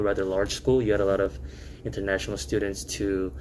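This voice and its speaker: Here a man talks in a Korean accent. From South Korea, then New York (Queens). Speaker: restaurant founder, alumnus. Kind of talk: casual podcast interview. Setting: podcast recording. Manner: casual, filler-heavy.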